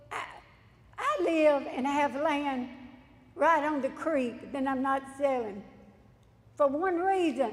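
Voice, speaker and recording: A woman's high-pitched voice at a very slow pace, with ordinary pitch variation. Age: 70s. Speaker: local resident speaking at public hearing. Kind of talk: public hearing testimony.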